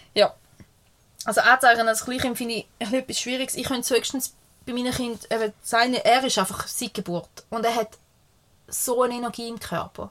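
Her pitch high and her intonation fairly even, a woman speaks with long, frequent pauses and big swings in loudness. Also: moderate pace. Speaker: podcast co-host. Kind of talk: casual chat. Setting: caravan studio.

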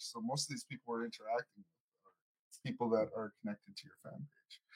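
A man's somewhat breathy voice at a moderate pace, with very wide pitch swings and big shifts in loudness, dry and close with no echo. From Canadian Prairies First Nation. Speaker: musician and podcast co-host. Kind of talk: casual chat.

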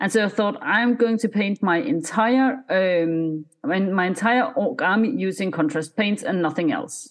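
A woman with a Scandinavian accent speaks at a medium pitch and a fairly slow pace, using lively intonation and hardly any pauses. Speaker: miniature painter and content creator. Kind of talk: casual interview chat.

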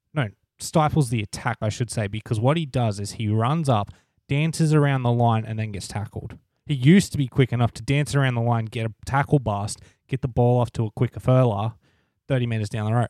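A man with an Australian accent speaks at a fairly quick pace, his medium pitch carrying ordinary variation and a dark, mellow tone. The sound is dry and close with no echo, on a very clean recording with a silent background. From Australia, New South Wales (Wollongong area). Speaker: podcast co-host. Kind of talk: casual chat.

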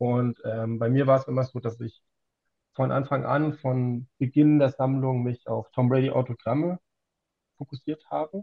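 Some breathiness runs through the voice. Its intonation stays fairly even at a moderate pace. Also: man. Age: 40s. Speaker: trading card collector. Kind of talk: casual chat.

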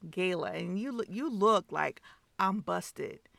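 With vocal fry at medium pitch, a woman talks at a fairly slow pace in a dry, close sound with no echo. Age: 50s. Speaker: podcast co-host, mother. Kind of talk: casual chat.

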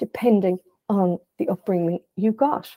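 In a western Irish accent, a woman speaks at a fairly slow pace in a medium pitch, her tone dark and mellow, with a dry, close sound and no echo. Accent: Irish (west of Ireland). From Ireland, County Galway. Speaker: psychotherapist. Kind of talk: casual interview.

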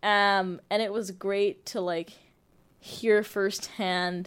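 A woman at a very slow pace, medium in pitch, with monotone, flat intonation, in a very clean recording with a silent background. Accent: Canadian. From Toronto, Canada. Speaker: nursing student and varsity soccer player. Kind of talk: interview.

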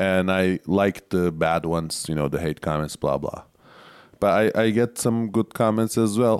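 A man speaks with a Turkish accent in a dry, close sound with no echo. The recording is very clean, with a silent background. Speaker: stand-up comedian. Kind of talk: casual chat. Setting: studio.

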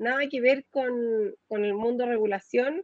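This woman talks at a fairly slow pace with ordinary pitch variation. Her voice sits fairly high and the sound is dry and close, without echo. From Chile. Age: 40s. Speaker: fintech manager. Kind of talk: interview. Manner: halting, many fillers and repetitions.

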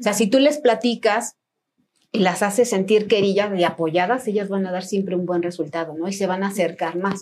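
In a normal speaking voice, a woman talks at a medium pitch and a moderate pace. Her pitch varies in an ordinary way. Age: 40s. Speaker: trail runner and running coach. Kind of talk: casual chat.

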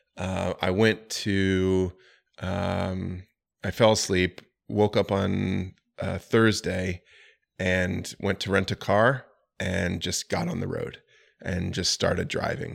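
A man with an American accent speaks very slowly in a very deep, low, flat monotone, on a very clean recording with a silent background. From Florida. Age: 40s. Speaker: real estate investor. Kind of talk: casual chat.

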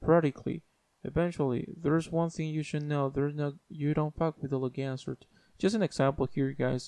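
The voice has a dark, mellow tone and fairly even intonation. The sound is dry and close, with no echo. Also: man. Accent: non-native. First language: not English. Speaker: YouTuber. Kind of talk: casual monologue. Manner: halting.

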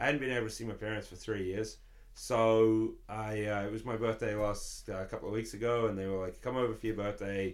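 In an English accent, a man with a medium pitch speaks at a fairly quick pace in a monotone, flat intonation, with audible room echo. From London, England. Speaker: musician. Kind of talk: casual chat.

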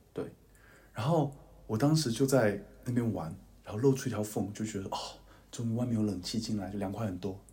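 Somewhat breathy and with a dark, mellow tone, a man talks at a fairly quick pace and fairly low pitch with ordinary pitch variation, long, frequent pauses and audible room echo. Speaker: podcast co-host, university student. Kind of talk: casual chat.

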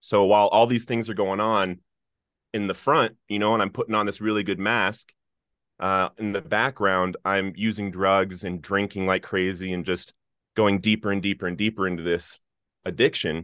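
Against a quiet background, a man with a General American accent speaks at a moderate pace in a fairly low pitch, his intonation fairly even. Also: dry, close sound with no echo. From Colorado. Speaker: author and nonprofit founder in addiction recovery. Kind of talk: interview testimony.

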